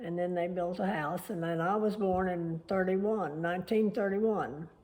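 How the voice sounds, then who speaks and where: With an Oklahoma accent, a woman speaks at medium pitch in a dark, mellow tone. Her intonation is fairly even and her pace is moderate. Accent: rural Oklahoma Southern US. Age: 80s+. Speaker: elderly woman recounting family history. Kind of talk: oral history interview. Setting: family home. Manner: halting.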